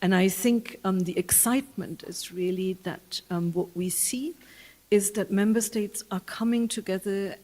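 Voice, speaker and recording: Speaking at a fairly slow pace with a German accent, a woman with a medium pitch and a dark, mellow tone keeps her intonation fairly even. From Germany. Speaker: UN official. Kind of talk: public talk. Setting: public event with audience. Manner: halting, many fillers.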